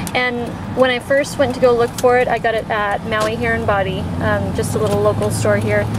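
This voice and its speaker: Against loud background noise, a woman talks at a moderate pace in a dry sound with no echo. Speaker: beauty vlogger. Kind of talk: casual vlog chat. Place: car. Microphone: phone near.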